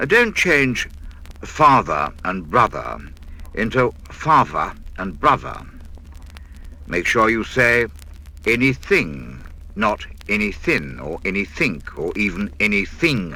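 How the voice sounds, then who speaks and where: Speech unfolds at a very slow pace. Long pauses come often between the words. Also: man. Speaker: radio broadcaster. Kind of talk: spoken-word instructional record. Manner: clear, precise diction.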